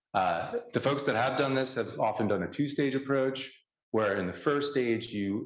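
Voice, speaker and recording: An American accent with audible room echo. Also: man. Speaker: scientist presenting research. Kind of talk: conference talk.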